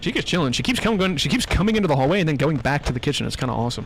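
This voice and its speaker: Music plays in the background as a man talks with an American accent. His pitch variation is ordinary. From US Midwest. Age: 20s. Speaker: gaming streamer. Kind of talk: live gameplay commentary. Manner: fast; not loud, reserved reactions.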